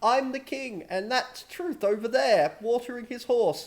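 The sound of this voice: A man puts on a squeaky character voice at an extremely high pitch, moving at a moderate pace.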